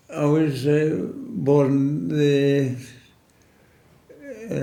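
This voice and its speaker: Noticeable background noise sits behind a speaker with a Scottish accent. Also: man. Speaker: retired farm worker. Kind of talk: oral history interview answer.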